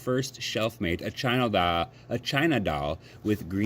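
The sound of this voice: Lively intonation marks an unforced reading voice.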